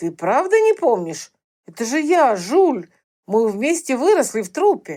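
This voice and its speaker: A woman's put-on character voice, high-pitched with very wide pitch swings at a moderate pace, on a very clean recording with a silent background. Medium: read story. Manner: warm, concerned.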